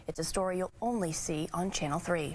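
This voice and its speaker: Over noticeable background noise, a woman's speech keeps a moderate pace and shows ordinary pitch variation. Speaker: television news anchor and investigative reporter. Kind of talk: TV news anchor delivery.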